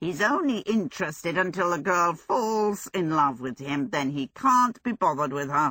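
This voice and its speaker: In a put-on character voice at a middle pitch, the speaker runs on with hardly any pauses. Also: moderate pace. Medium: read story. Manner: grumbling, sardonic.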